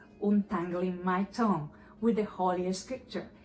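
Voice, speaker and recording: With music in the background, a woman talks in a Spanish accent. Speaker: YouTuber practicing English by reading scripture. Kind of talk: casual commentary to camera; reading aloud. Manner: deliberate, careful articulation.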